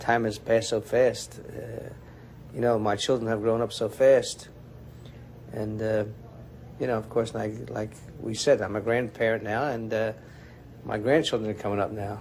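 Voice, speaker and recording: Pausing long and often, a man with medium pitch and vocal fry speaks at a moderate pace in a monotone, flat intonation. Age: 60s. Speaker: butcher shop owner. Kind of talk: documentary interview.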